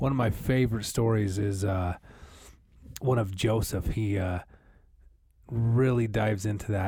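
A man with an American accent speaks at a fairly slow pace, leaving long, frequent pauses. His fairly low voice is dark and mellow, somewhat breathy, with very even loudness and fairly even intonation. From US Northwest (Idaho, Montana). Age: 30s. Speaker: podcast co-host. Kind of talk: casual chat.

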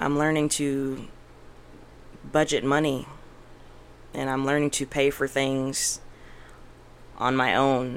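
With a very deep, low pitch and a monotone, flat intonation, a woman speaks at a very slow pace, leaving long, frequent pauses. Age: 20s. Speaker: podcast guest, mother. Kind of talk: casual interview chat.

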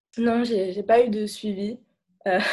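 A woman talks at a fairly slow pace. Her pitch is medium and her intonation fairly even. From Lebanon, Beirut. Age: 20s. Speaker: student. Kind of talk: testimony. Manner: halting.

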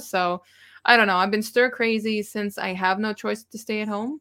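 In a Montreal accent, a woman talks at a fairly quick pace with a bright, sharp tone. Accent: Canadian English, Montreal Anglophone. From Montreal, Quebec (Anglophone). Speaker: YouTuber and gig delivery worker. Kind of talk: casual chat.

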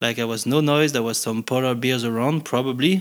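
A man speaks with a French accent at medium pitch. His pitch varies in an ordinary way, and the recording is very clean with a silent background. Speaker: helicopter pilot and ski guide. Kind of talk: casual interview. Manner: hesitant, many fillers and repetitions.

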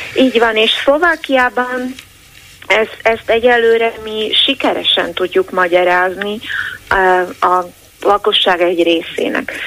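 Over noticeable background noise, a woman with a fairly high voice talks at a very slow pace, using lively intonation and long, frequent pauses. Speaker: newspaper editor-in-chief. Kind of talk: interview.

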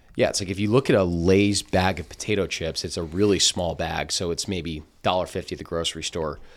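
Over a very clean recording with a silent background, a man with a New Jersey accent speaks in a very deep, low pitch with fairly even intonation. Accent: American, New Jersey. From New Jersey, Princeton. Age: 20s. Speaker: food company founder and podcast co-host. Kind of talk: casual interview chat.

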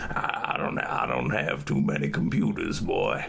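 A man does a put-on character voice at a fairly slow pace. Clear background noise runs behind him.

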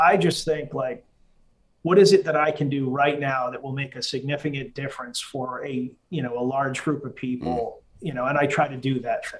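In an American accent, this normal speaking voice moves at a moderate pace with ordinary pitch variation. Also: man, fairly high pitch for a man. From Massachusetts, US. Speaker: army veteran. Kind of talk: casual interview conversation.

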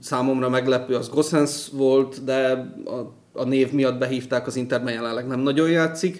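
A man talks at a moderate pace, his intonation monotone and flat. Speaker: football podcast host. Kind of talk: casual chat.

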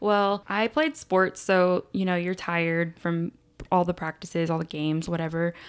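A woman speaks in an unremarkable speaking voice, fairly low in pitch, at a moderate pace. Her intonation is fairly even, in a very clean recording with a silent background. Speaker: podcast co-host. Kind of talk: casual chat.

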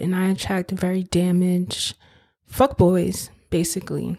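Speaking at a fairly slow pace with fairly even intonation, a woman has an ordinary speaking voice on a very clean recording with a silent background. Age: 20s. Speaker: podcast host. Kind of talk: casual monologue.

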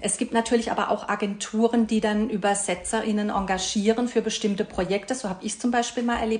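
Fairly quick, fairly high speech from a woman in monotone, flat intonation, with noticeable background noise. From Karlsruhe, Baden, southwestern Germany. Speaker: translator. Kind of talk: podcast interview.

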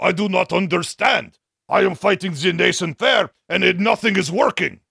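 Putting on a character voice in a Russian accent, a man speaks raspy and high-pitched, his voice raised and projected, at a moderate pace. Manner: confused, baffled.

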